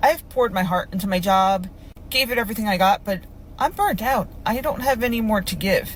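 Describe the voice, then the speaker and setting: This woman's voice is somewhat breathy and medium in pitch, with ordinary pitch variation. She talks at a fairly quick pace. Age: 40s. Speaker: group home worker. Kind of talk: personal vlog monologue.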